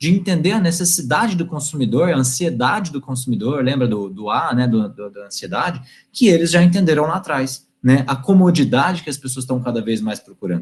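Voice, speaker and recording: Somewhat breathy and fairly high for a man, this male voice moves at a fairly quick pace with lively intonation. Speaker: guest lecturer, IT company representative. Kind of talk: online lecture to university class. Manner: fast when excited; animated.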